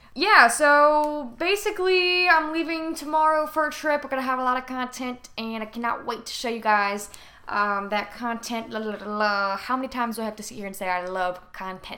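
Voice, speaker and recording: Barely pausing, a woman with a high pitch and a bright, sharp tone talks at a moderate pace, with very wide pitch swings and big swings in loudness. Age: 20s. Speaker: podcast host. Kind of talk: casual solo monologue. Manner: casual, profane, chatty.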